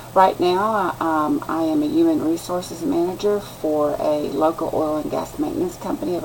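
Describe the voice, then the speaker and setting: Noticeable background noise sits behind the speaker. The delivery, in a Texan accent, is at a moderate pace. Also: woman. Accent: Texan Southern US. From West Texas. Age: 60s. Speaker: student. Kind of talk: class introduction video. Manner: halting.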